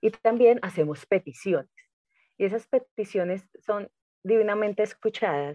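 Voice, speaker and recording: A woman speaks at a medium pitch with ordinary pitch variation and a dark, mellow tone. The sound is dry and close, with no echo. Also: moderate pace. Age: 30s. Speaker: spiritual coach. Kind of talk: casual interview chat.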